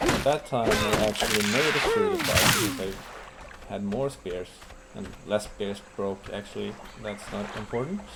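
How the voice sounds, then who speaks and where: A man speaks with a non-native accent. Noticeable background noise runs underneath. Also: moderate pace. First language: not English. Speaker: gaming YouTuber. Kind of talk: let's play commentary. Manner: casual, with hesitations.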